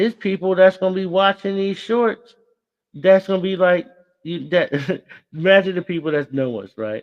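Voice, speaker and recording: Moderate pace, ordinary pitch variation, big swings in loudness, and a dry, close sound with no echo. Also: man, high pitch for a man. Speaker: podcast host. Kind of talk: casual chat. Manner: stutters when excited; animated.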